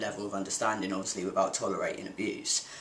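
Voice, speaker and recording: Noticeable background noise fills the recording. A man talks at a very fast pace. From Devon, England. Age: 20s. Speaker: diversity campaigner. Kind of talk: vlog talk to camera.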